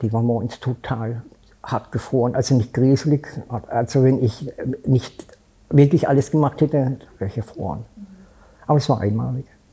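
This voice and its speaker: Long, frequent pauses break up a man's speech at medium pitch with ordinary pitch variation. His tone is dark and mellow and somewhat breathy. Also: moderate pace. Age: 70s. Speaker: homeless man. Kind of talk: interview.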